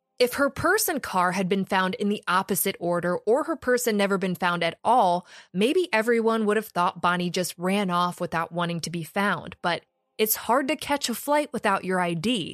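A woman with a normal speaking voice talks at a moderate pace and a medium pitch, her intonation lively. The recording is very clean with a silent background and a dry, close sound with no echo. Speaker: true crime podcaster. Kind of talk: true-crime narration. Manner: conversational, snarky, sarcastic.

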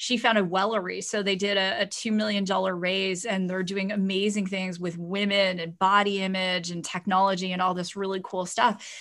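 With hardly any pauses, a woman talks at a moderate pace and medium pitch in monotone, flat intonation, on a very clean recording with a silent background. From Canada, Ontario. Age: 40s. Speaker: entrepreneur and author. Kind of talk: interview conversation.

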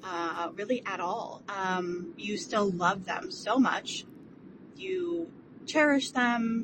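Over noticeable background noise, a woman speaks very slowly at a medium pitch with very wide pitch swings. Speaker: voicemail caller. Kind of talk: voicemail question.

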